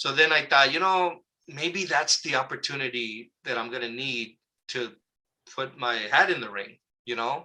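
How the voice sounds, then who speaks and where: A man at medium pitch with an American accent, bright, sharp tone, and lively intonation. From Southern California (Oxnard area). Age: 60s. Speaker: local community activist. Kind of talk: interview. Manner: casual, conversational with fillers.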